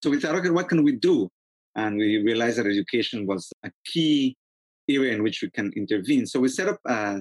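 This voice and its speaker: Speaking with a Spanish accent, a man keeps a fairly quick pace and lively intonation at medium pitch. The sound is dry and close, with no echo. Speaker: academic and activist. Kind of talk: interview discussion.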